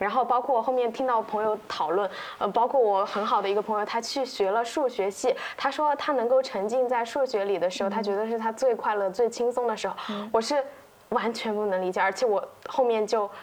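Talking at a fairly quick pace, a woman uses a normal speaking voice with fairly high pitch and fairly even intonation. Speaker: copywriter, podcast co-host. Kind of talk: casual chat.

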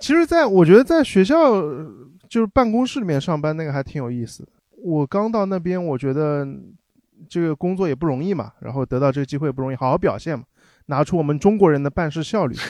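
A voice with lively intonation races along at a very fast pace in a dry, close sound with no echo. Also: man, fairly high pitch for a man. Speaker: former overseas student. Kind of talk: casual chat.

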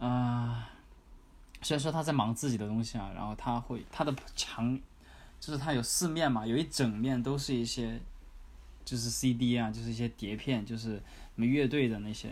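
A man speaks at a medium pitch with fairly even intonation. Audible room echo surrounds the voice. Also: moderate pace. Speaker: former working holiday backpacker. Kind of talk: interview.

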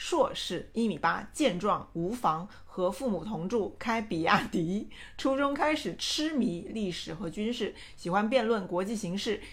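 The speaker has lively intonation and an animated tone. The delivery is fairly slow and somewhat breathy. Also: woman, fairly high pitch for a woman. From Changsha, Hunan, China. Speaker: podcast co-host. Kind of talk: reading aloud.

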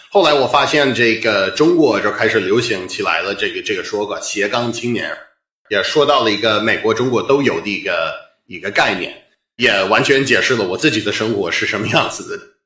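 A man's bright, sharp voice swings widely in loudness, with audible room echo around it. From US Northeast, Boston. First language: English (speaking Chinese). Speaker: stand-up comedian. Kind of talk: interview conversation. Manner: halting, with fillers.

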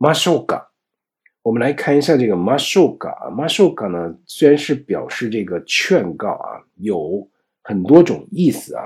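A fairly high-pitched man speaks at a fairly slow pace with vocal fry and very wide pitch swings. The recording is very clean, with a silent background. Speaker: Japanese language teacher. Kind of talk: lecture.

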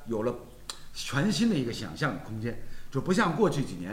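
There is audible room echo around this man's voice. He talks at a moderate pace with very wide pitch swings. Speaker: football talk show host. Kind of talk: casual chat.

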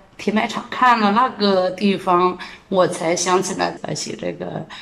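A woman talks in a plain, everyday voice. Her pitch is medium, with fairly even intonation. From Jiangsu, China. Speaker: street cleaning team leader. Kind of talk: interview.

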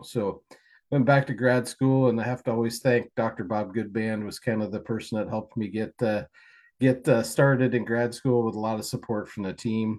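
Against a quiet background, a man speaks at a medium pitch with a US Midwestern accent and fairly even intonation. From Kansas, US. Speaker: swine nutritionist. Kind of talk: interview.

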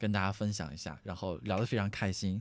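Fairly low pitch from a man at a fairly quick pace, on a very clean recording with a silent background. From Henan, Anyang. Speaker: podcast host. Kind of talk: casual chat. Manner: animated, laughing.

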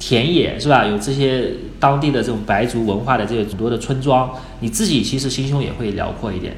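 Through noticeable background noise and audible room echo, a man talks at a fairly quick pace. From China, Wuhu, Anhui. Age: 30s. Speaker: freelance photographer. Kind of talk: casual interview.

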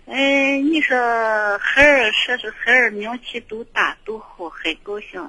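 A woman's high voice at a very slow pace, with big swings in loudness. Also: ordinary pitch variation. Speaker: radio call-in listener. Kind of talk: casual chat.

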